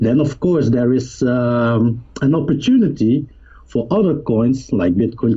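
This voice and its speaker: A man with a non-native accent talks at a fairly slow pace and medium pitch, somewhat breathy, with ordinary pitch variation. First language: not English. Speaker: cryptocurrency youtuber. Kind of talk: interview. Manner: halting, repeats words.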